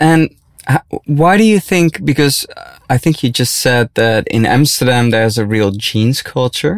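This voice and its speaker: A man with a Dutch accent speaks with lively intonation, the sound dry and close with no echo. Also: medium pitch for a man. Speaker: podcast host. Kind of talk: scripted intro; interview. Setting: studio.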